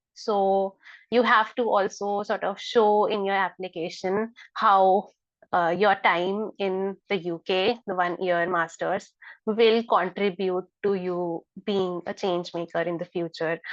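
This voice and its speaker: A woman with an Indian accent speaks at a fairly slow pace. Her intonation is flat and monotone over a quiet background. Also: medium pitch for a woman. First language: Hindi. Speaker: scholarship mentor. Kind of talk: online information session. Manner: hesitant with many fillers.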